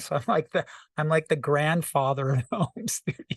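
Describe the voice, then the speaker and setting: A man's fairly high, somewhat breathy voice with ordinary pitch variation and a dry, close sound with no echo. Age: 60s. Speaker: rock singer-songwriter and producer. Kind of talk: casual interview.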